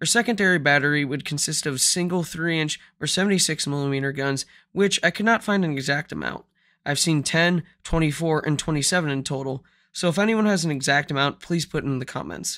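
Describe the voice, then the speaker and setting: With a bright, sharp tone, a man talks at a fairly quick pace and fairly high pitch with ordinary pitch variation. The recording is very clean, with a silent background. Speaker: naval history narrator. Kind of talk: history narration.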